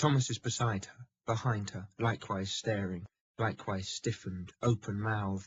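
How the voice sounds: In a natural reading voice with fairly even intonation, the speaker talks over a quiet background.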